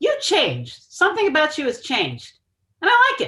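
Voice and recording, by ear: This is a put-on character voice at an extremely high pitch. It moves at a fairly quick pace with very wide pitch swings.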